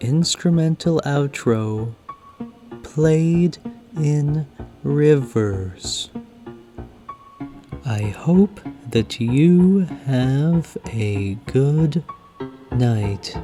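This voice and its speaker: Over music in the background, the speech moves at a very slow pace with long, frequent pauses. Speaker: radio talk show host. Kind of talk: late-night radio talk show / guided meditation.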